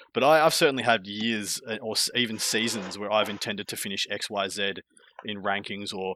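Fairly low-pitched man with an Australian accent, bright, sharp tone and fairly quick pace. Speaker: tabletop wargaming content creator. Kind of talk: casual podcast chat.

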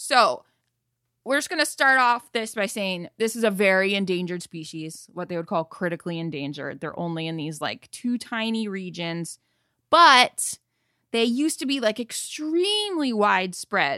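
A woman speaks at a moderate pace and medium pitch in an animated, playful tone that is bright and sharp, with very wide pitch swings and big swings in loudness, the sound dry and close with no echo on a very clean recording with a silent background. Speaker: podcast host. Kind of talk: casual chat, comedic banter.

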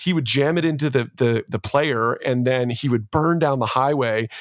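This is an unremarkable speaking voice with a Canadian accent, moving at a moderate pace with ordinary pitch variation. The recording is very clean, with a silent background. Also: man. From Canada, Ontario. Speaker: church leader and podcast host. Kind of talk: casual interview chat.

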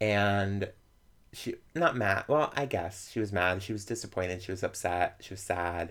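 Speaking in a normal speaking voice with an American accent, a man talks at a moderate pace with a fairly low pitch and ordinary pitch variation, recorded very cleanly against a silent background. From Florida, US. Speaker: comedian and drag performer. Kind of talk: personal coming-out story.

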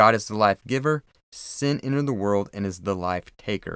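Recorded very cleanly against a silent background with a dry, close sound and no echo, a man speaks at a moderate pace in a fairly low pitch with ordinary pitch variation and an unremarkable speaking voice. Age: 30s. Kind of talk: solo devotional talk.

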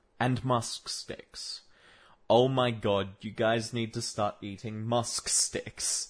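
A man talks very slowly at a medium pitch, somewhat breathy and monotone, with flat intonation. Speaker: solo podcaster. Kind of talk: casual monologue. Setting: home room with desk. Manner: rambling with frequent fillers.

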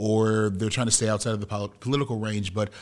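A man with an American accent, fairly low in pitch, very fast, and fairly even in intonation, on a very clean recording with a silent background. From US Midwest. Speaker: podcast host and media producer. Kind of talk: interview before a live audience. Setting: room with live audience.

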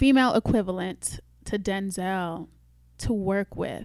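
A woman speaks at a medium pitch with ordinary variation. Her tone is dark and mellow. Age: 20s. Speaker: screenwriter and motivational speaker. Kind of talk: casual chat.

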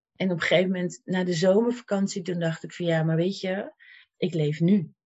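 Somewhat breathy, a woman speaks with fairly low pitch and fairly even intonation. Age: 50s. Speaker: life coach and cancer patient. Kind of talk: interview.

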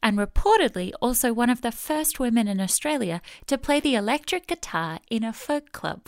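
A woman's fairly high voice with very wide pitch swings at a moderate pace, on a very clean recording with a silent background. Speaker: announcer. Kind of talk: scripted narration.

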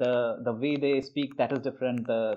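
A man talks at a moderate pace with an Indian accent. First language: Hindi. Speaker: guest from India. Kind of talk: casual conversation.

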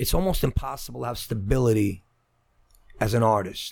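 In a Brooklyn accent, a man with medium pitch talks at a moderate pace with lively intonation. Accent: Brooklyn New York. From Brooklyn, New York. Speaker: actor, writer and director. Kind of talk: casual chat. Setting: studio.

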